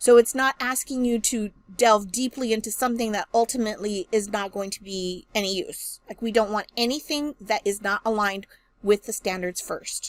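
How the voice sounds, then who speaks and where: A woman with an unremarkable speaking voice talks at a moderate pace and a fairly high pitch, with ordinary pitch variation. The sound is dry and close, with no echo. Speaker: math education instructor. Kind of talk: recorded lecture.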